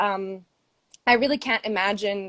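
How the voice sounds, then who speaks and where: A woman with a plain, everyday voice speaks in an American accent at a moderate pace and a medium pitch. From Brazil, grew up all over the world. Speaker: fundraiser and campaign supporter. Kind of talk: casual interview on a livestream. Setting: Instagram live video call.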